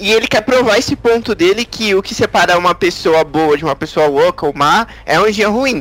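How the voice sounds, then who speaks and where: With hardly any pauses, the speaker keeps a moderate pace and lively intonation over noticeable background noise. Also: man, high pitch for a man. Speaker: podcast co-host. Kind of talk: casual chat.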